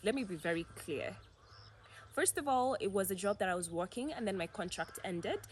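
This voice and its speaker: With vocal fry, a woman speaks at a medium pitch and a moderate pace. Her intonation is lively. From Kenya, mostly Mombasa. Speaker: YouTuber. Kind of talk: casual Q&A vlog. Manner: animated.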